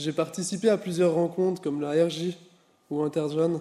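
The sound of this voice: A man with a dark, mellow tone speaks at a moderate pace with fairly even intonation. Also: fairly high pitch for a man.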